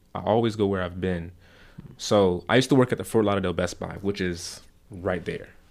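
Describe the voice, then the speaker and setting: A man's normal speaking voice, fairly low in pitch, with an American accent, fairly even intonation and a fairly quick pace, on a very clean recording with a silent background. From South Florida. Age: 20s. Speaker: podcast host. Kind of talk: casual chat.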